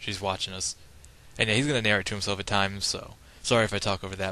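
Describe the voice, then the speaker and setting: A man with a fairly low pitch speaks at a very fast pace. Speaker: gaming commentator. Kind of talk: live gameplay commentary. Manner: casual, filler-heavy.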